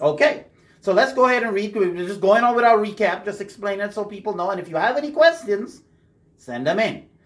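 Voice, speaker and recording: With a Bahamian accent, a man speaks at a fairly quick pace. His pitch is high and his intonation is lively. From Bahamas. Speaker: radio host discussing Bible teaching. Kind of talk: casual Bible study discussion. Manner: conversational.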